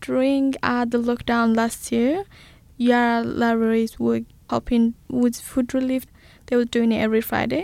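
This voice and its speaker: Heard on a very clean recording with a silent background, a normal speaking voice moves at a moderate pace with fairly even intonation and very even loudness. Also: woman, fairly high pitch for a woman. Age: 20s. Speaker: council customer service officer. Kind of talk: casual chat. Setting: studio.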